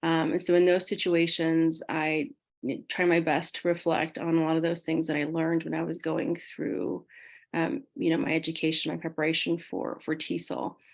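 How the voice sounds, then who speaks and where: Using vocal fry, a woman talks at a moderate pace with fairly even intonation. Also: fairly low pitch for a woman, quiet background. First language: not English. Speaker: alumni panelist, composition instructor. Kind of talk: panel discussion.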